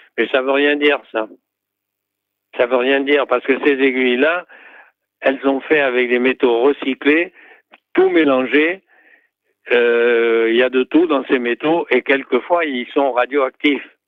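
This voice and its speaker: A man talks at a medium pitch with fairly even intonation. His pace is very slow, marked by long, frequent pauses. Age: 80s+. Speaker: acupuncturist. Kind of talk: interview. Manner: halting.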